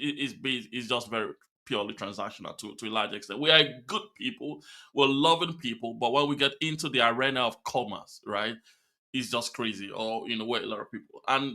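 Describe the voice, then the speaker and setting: With a Nigerian accent, a man speaks at a fairly quick pace in a medium-pitched, bright, sharp tone with ordinary pitch variation, on a very clean recording with a silent background. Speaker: podcast host. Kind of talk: interview.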